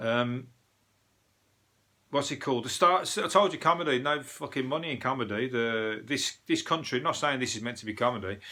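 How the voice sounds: A man talks at a moderate pace in a Birmingham accent, his tone bright and sharp. His pitch is medium, with ordinary pitch variation. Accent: Birmingham (Brummie).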